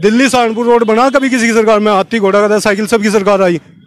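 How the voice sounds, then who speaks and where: Noticeable background noise behind a man's high-pitched voice. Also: very even loudness. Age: 30s. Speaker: interviewee, member of public. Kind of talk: street interview. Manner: animated.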